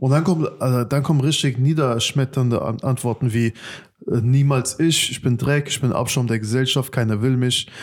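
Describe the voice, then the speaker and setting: Fairly even intonation and a moderate pace from a man with a medium-pitched voice. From Germany. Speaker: podcast host and youth workshop leader. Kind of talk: casual chat.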